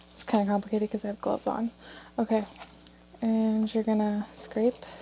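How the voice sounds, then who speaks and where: Soft-spoken and fairly high-pitched, a woman talks at a moderate pace in a monotone, flat intonation, with noticeable background noise. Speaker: crafting tutorial creator. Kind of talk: tutorial. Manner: casual.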